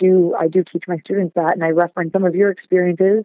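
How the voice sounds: A woman speaks at a medium pitch. The sound is dry and close with no echo.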